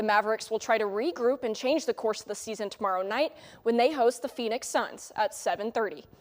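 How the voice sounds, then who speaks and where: In an ordinary speaking voice with an American accent, a woman talks at a fairly quick pace and fairly high pitch, using ordinary pitch variation, on a very clean recording with a silent background. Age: 20s. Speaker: sports anchor and reporter. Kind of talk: TV sports news anchor read.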